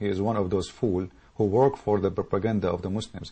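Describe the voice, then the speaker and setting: With an Arabic accent, a man talks at a fairly quick pace in a fairly low, somewhat breathy voice. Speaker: political commentator. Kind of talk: political rant. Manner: animated.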